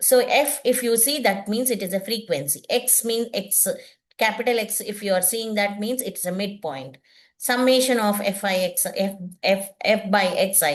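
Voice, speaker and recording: A woman's fairly high voice in an Indian accent, with lively intonation at a moderate pace. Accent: Indian English, Telugu. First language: Telugu. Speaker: teacher. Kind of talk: lecture. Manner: halting.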